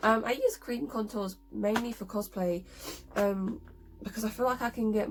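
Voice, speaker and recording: A woman at a fairly quick pace with fairly even intonation, music in the background. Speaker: cosplay makeup youtuber. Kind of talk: tutorial. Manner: hesitant, many ums and likes.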